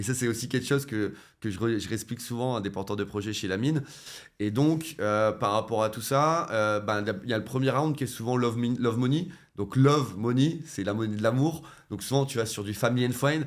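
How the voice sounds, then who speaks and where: A man at medium pitch, ordinary pitch variation, fairly quick pace. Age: 30s. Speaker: web3 entrepreneur and former nurse. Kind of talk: interview conversation. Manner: hesitant, many fillers and restarts.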